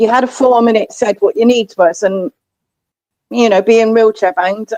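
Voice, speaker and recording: A woman with an English accent speaks at a fairly high pitch, her intonation fairly even. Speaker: livestream host. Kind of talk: casual chat.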